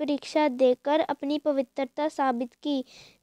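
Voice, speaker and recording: A woman with a high pitch speaks in a monotone, flat intonation, her voice sounding dry and close with no echo. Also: quiet background. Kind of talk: moral storytelling narration.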